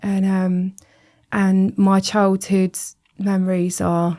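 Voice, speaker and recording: In a very clean recording with a silent background, a woman speaks at a medium pitch with a dark, mellow tone and flat, monotone intonation. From West Country, England (near Bristol). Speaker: recovering addict sharing her story. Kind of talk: podcast interview, personal testimony.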